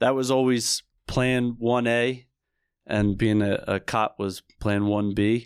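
Here a man talks with an American accent in a monotone, flat way. The recording is very clean, with a silent background. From New Jersey, Camden County. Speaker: police lieutenant. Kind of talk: interview.

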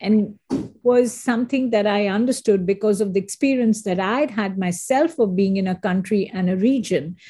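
In a very clean recording with a silent background, a woman speaks at a moderate pace and medium pitch, somewhat breathy and dark and mellow in tone, with ordinary pitch variation. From India. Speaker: marketing executive. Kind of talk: interview conversation.

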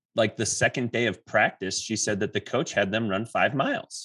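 A man with an unremarkable speaking voice talks fairly slowly in a mid-range pitch, his intonation fairly even. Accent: American. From southeastern Wisconsin. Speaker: podcast host, physical therapist. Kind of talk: casual interview. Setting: video call.

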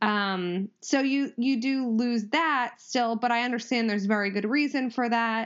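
An unremarkable speaking voice talks at a fairly slow pace with hardly any pauses. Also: woman, fairly high pitch for a woman. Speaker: lawyer, judge candidate. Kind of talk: casual chat.

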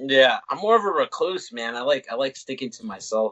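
Speaking at a fairly quick pace, the man has a medium pitch. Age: 20s. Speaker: podcast host. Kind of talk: casual interview.

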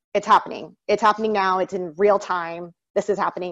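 A woman talks with fairly even intonation. Hers is a plain, everyday voice. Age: 30s. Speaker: entrepreneur and congressional candidate. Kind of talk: interview.

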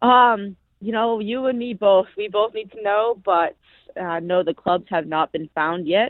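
In an American accent, a woman talks in an ordinary speaking voice at a fairly slow pace with ordinary pitch variation. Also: medium pitch for a woman. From US Northeast, Massachusetts. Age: 20s. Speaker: professional golfer. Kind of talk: casual interview.

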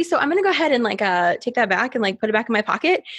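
Very fast and animated, a woman talks with a fairly high pitch and very wide pitch swings. Noticeable background noise runs underneath. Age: 30s. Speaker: podcast host. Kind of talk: casual chat. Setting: video call.

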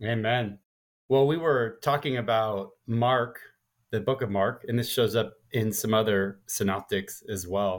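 In an ordinary speaking voice, a man talks at medium pitch and a fairly slow pace with fairly even intonation. The recording is very clean, with a silent background. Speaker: podcast co-host. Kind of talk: casual chat.

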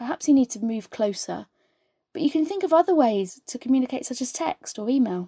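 With a dark, mellow tone and a high pitch, a woman talks at a fairly quick pace in a dry, close sound with no echo. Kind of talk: personal monologue. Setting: speaking through interpreter.

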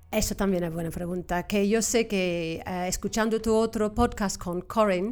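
A woman with an English accent speaks with fairly even intonation. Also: very clean recording, silent background. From Cornwall, England. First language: English (speaking Spanish). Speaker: English teacher and examiner. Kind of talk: interview. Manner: halting, repeats words.

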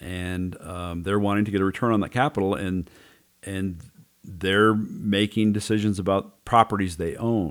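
In a plain, everyday voice, a man talks at a moderate pace with fairly low pitch and fairly even intonation. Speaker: podcast host. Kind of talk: casual discussion. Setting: studio.

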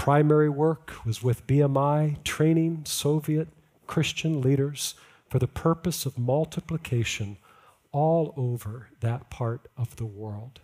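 With an American accent, a man with a fairly high pitch and a dark, mellow tone speaks very slowly with ordinary pitch variation, on a very clean recording with a silent background. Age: 50s. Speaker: guest preacher. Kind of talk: sermon. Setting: church. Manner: halting.

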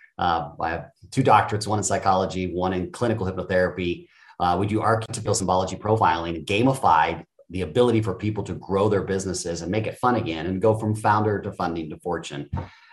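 Somewhat breathy and very deep and low, a man's voice moves at a very fast pace with ordinary pitch variation. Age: 50s. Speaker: self-development coach and hypnotherapist. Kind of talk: podcast interview. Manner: hesitant, many filler words.

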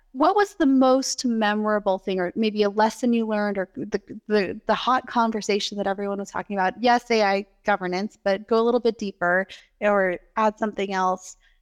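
A woman with an unremarkable speaking voice talks at a fairly quick pace and fairly high pitch with fairly even intonation, her dry, close sound free of echo against a quiet background. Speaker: podcast host and cloud architect. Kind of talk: interview, conversational.

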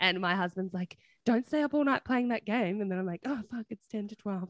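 A woman talks at a fairly quick pace and medium pitch with ordinary pitch variation, in a dry, close sound with no echo. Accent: Australian. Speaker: nurse podcast co-host. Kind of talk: casual chat. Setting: video call.

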